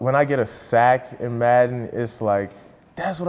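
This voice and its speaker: A man speaks at a medium pitch and a moderate pace. Noticeable background noise sits behind him. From US, moved from Nigeria at nine. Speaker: college football player. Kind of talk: interview. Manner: casual, with frequent fillers.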